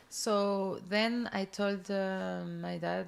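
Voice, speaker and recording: A woman's voice in a French accent. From southern France. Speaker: entrepreneur. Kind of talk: interview. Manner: halting.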